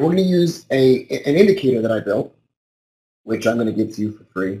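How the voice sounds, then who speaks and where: Somewhat breathy and lively in intonation, a man talks at a fairly quick pace. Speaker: trader and trading educator. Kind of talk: webinar presentation. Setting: online webinar. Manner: casual, informal.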